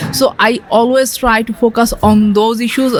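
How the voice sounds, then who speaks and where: A woman with a Bangladeshi accent talks at a moderate pace in a fairly high voice, with noticeable background noise behind her. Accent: Bangladeshi regional accent of English. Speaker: asexual queer artist and activist. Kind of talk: radio interview answer.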